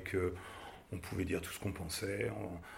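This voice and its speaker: With audible room echo, a man speaks at a moderate pace in a very deep, low pitch and fairly even intonation. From Paris, France. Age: 50s. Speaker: advertising agency director. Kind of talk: interview. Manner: hesitant, many fillers and repetitions.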